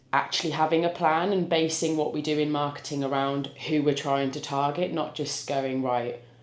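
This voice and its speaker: A woman at a moderate pace, very deep and low in pitch, with fairly even intonation, audible room echo and noticeable background noise. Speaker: business owner and vlogger. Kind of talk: business pitch explanation; casual vlog chat. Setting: pub.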